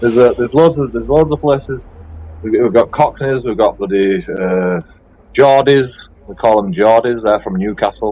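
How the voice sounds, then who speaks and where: This man's voice has a dark, mellow tone and moves along at a moderate pace. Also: medium pitch for a man, lively intonation. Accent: strong Yorkshire. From Bradford, West Yorkshire, England. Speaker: livestream host. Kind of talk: casual chat.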